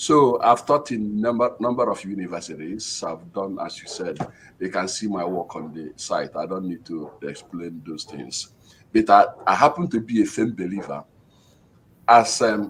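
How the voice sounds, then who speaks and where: Speaking at a fairly slow pace with a Nigerian accent, a man with a fairly low pitch shows big swings in loudness. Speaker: professor. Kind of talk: panel discussion.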